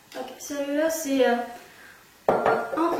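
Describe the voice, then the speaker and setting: A woman speaks at a very slow pace in a high voice with fairly even intonation, over noticeable background noise. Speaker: trained bartender. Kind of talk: cocktail recipe tutorial.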